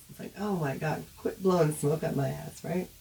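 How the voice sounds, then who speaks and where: A woman with an animated tone at a moderate pace, noticeable background noise behind her. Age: old. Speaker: online advocate on family estrangement. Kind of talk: casual livestream monologue.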